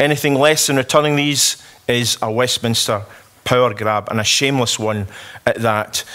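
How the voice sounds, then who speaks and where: Amid noticeable background noise, a man speaks at medium pitch and a moderate pace with fairly even intonation. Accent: Scottish. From Scotland. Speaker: politician. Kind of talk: conference speech.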